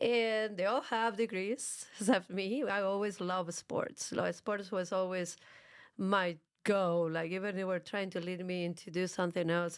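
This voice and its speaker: In a strong Argentine accent, a woman speaks at a medium pitch with fairly even intonation, on a very clean recording with a silent background. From Argentina, Buenos Aires. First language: Spanish. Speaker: fitness and jiu-jitsu coach, gym co-owner. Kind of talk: interview. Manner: tries not to speak too fast.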